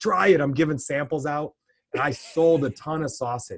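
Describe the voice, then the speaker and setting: A loud male voice. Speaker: podcast co-host. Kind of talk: casual chat.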